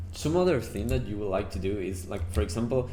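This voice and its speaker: A man with a very deep, low pitch talks with ordinary pitch variation over noticeable background noise. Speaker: gamer. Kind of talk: game tutorial narration.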